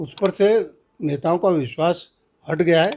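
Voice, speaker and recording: Ordinary pitch variation in a man's high voice. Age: 70s. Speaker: veteran politician, former minister. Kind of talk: political interview.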